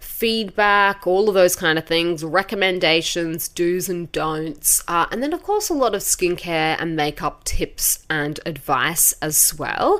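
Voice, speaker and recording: Lively in intonation, a woman with an Australian accent speaks at a fairly slow pace and a fairly low pitch. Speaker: podcast host, beauty industry expert. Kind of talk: podcast monologue. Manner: casual, conversational.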